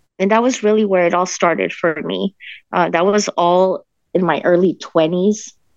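This is an unremarkable speaking voice with an American accent, moving at a moderate pace. Loudness stays very even, and intonation is fairly even. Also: woman, fairly low pitch for a woman. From Denver, Colorado. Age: 40s. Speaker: political party state director. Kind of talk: interview.

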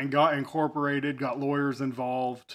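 With a Midwestern American accent, a man talks at a moderate pace and a fairly high pitch. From US Midwest, Effingham, Illinois. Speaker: podcast co-host, business owner. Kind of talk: casual chat.

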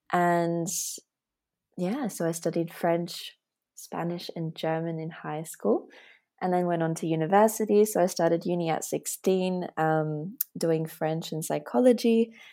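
With an Australian accent, a woman speaks at a fairly slow pace in a dark, mellow tone, her pitch fairly low with ordinary variation. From Australia, Latvian family. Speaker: personal development coach and polyglot. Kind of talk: casual interview chat. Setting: remote call.

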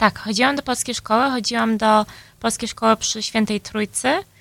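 A woman's bright, sharp tone comes through a very clean recording with a silent background and a dry, close sound without echo. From Chicago, US, Polish-speaking home. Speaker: tech employee and conference speaker. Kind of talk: interview. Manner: halting, many fillers.

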